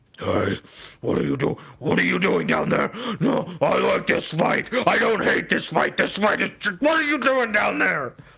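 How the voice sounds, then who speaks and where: A man puts on a loud, growling character voice pitched high, delivered at a moderate pace. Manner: casual, shouting down.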